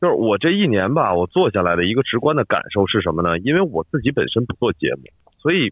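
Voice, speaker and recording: Very fast speech from a man at a medium pitch sweeps through very wide pitch swings. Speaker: podcast network head. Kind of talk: casual interview. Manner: radio broadcaster style.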